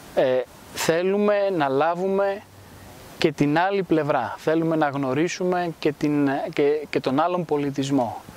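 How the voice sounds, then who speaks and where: The man's voice sits at a high pitch, with ordinary pitch variation. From Greece, raised in Rome from age 10 to 20. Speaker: cultural institute founder. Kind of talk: interview. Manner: formal.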